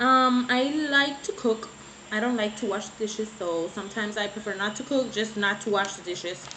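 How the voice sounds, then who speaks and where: Noticeable noise fills the background. A woman delivers her words at a fairly slow pace. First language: Spanish. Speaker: beauty vlogger. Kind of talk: casual vlog chat. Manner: halting, searching for words.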